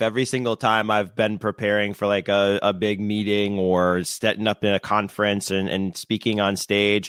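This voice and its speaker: A man with a fairly low pitch and an American accent. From US Northeast. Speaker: podcast host. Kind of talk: casual interview chat. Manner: fast.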